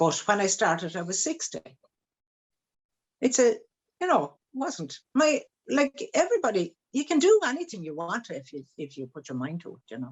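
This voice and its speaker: A woman with an Irish accent speaks at a fairly high pitch and moderate pace with vocal fry and very wide pitch swings. Her loudness swings widely, and she takes long, frequent pauses. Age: 70s. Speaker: children's book author. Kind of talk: interview. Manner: halting.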